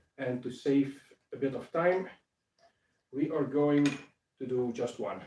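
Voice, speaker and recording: Speaking at a fairly slow pace with a non-native accent, a man has a fairly high pitch and a dark, mellow tone. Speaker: craft maker, bookbinder. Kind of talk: live stream tutorial. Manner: halting, many filler sounds.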